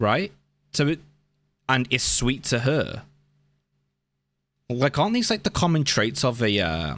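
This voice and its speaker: At a fairly slow pace with long, frequent pauses, a man with a medium pitch and vocal fry swings very widely in pitch, recorded very cleanly against a silent background. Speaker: reaction video creator. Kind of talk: reaction commentary. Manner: halting.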